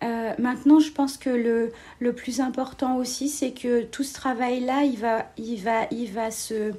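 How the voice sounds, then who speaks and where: A woman's high-pitched voice with a dark, mellow tone, a very slow pace and monotone, flat intonation. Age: 40s. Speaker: civil servant. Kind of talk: interview. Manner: hesitant, many fillers.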